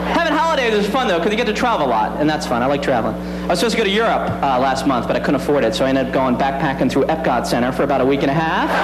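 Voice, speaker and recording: Over loud background noise, a man talks at a very fast pace with hardly any pauses. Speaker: stand-up comedian. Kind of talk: stand-up comedy routine. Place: stage. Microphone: handheld.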